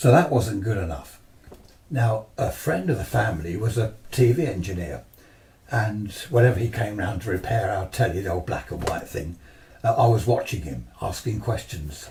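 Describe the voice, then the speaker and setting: This man has a dark, mellow tone and a fairly low pitch, speaking with an English accent, vocal fry and lively intonation at a moderate pace. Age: 70s. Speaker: amateur radio operator. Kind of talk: talk to a club audience. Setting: club presentation with audience. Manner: conversational, hesitant.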